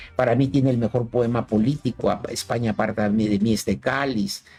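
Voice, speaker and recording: This man talks fairly quickly at a fairly low pitch. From Mexico, Chiapas. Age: 60s. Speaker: poet and philosopher. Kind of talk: radio interview. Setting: radio studio. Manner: halting, many repetitions.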